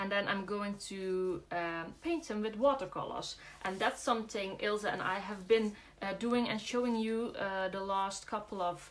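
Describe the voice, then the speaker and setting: Fairly slow speech with a Dutch accent and ordinary pitch variation. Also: woman. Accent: Dutch accent, soft G. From Netherlands, Brabant. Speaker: craft demonstrator. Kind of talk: live craft tutorial. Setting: livestream. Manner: hesitant, many fillers.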